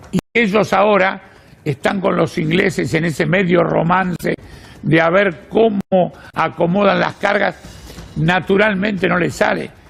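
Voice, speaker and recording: Over noticeable background noise, a man speaks at a fairly slow pace. His high-pitched voice holds a very even loudness. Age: 80s+. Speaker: journalist and political activist. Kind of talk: interview. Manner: halting.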